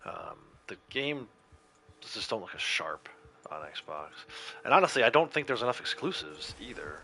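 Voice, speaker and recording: A man with an American accent speaks at a moderate pace with long, frequent pauses and big swings in loudness. There is noticeable background noise. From Connecticut, US Northeast. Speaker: gaming livestreamer. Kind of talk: casual gameplay commentary. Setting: livestream.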